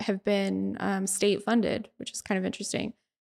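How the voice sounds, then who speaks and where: A woman is speaking. She has a Utah accent. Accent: American, Utah. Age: 30s. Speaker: conceptual artist. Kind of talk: casual chat.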